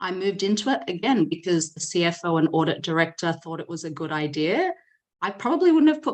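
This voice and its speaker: Here is a woman with an Australian accent and a fairly low pitch. She talks at a fairly quick pace. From Australia (Sydney). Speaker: data leader and company founder. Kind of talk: podcast interview. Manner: conversational with frequent fillers.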